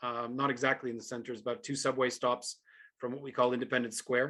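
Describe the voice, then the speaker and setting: A man talks very fast with a North American accent. His medium-pitched voice is monotone and flat. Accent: North American, surprising for a Ukrainian. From Canada, Ontario. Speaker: professor. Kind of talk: live video talk to students. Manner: halting, many fillers.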